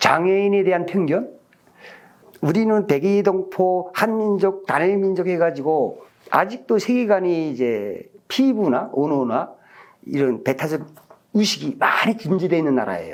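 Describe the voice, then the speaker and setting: A man's high-pitched voice at a fairly slow pace. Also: lively intonation, very even loudness. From North Korea. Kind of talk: interview testimony.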